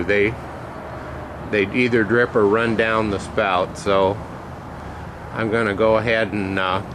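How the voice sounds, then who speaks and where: A man's fairly low voice, very slow and monotone, with long, frequent pauses and noticeable background noise. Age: old. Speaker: hobbyist metal refiner. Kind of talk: tutorial. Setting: outdoors. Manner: loud; hesitant, many fillers.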